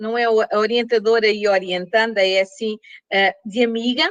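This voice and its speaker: The sound is dry and close with no echo as a woman speaks with fairly even intonation. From Portugal. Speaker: professor. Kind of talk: lecture. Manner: slow.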